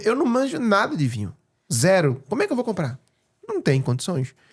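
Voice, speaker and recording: A man with a Pernambuco accent, speaking at a very fast pace. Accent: Pernambuco accent, noticed by others. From Pernambuco, northeast Brazil. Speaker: real estate broker and speaker. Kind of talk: podcast interview. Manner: animated.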